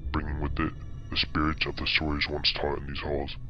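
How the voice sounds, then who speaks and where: A man speaks over clear background noise. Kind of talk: horror narration. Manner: ominous, theatrical.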